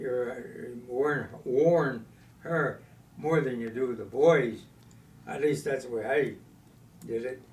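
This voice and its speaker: Somewhat breathy speech at a very slow pace shows ordinary pitch variation and big swings in loudness. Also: man, medium pitch for a man. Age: 80s+. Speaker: war veteran. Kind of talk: interview answer.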